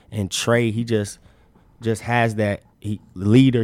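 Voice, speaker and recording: In an American accent, a man speaks at a medium pitch with a dark, mellow tone. His intonation is monotone and flat. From US Midwest, Chicago. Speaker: college basketball player. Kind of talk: casual interview.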